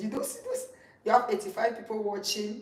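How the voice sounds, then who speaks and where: Audible room echo and noticeable background noise accompany a woman speaking at a fairly high pitch. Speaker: live streamer. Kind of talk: casual chat. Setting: livestream.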